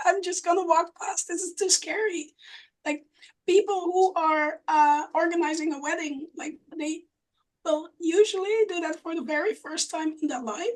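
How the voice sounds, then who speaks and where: A woman speaks at a moderate pace in an extremely high voice, with ordinary pitch variation and big swings in loudness. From Netherlands, outer region. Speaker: live wedding painter and illustrator. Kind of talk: casual group chat.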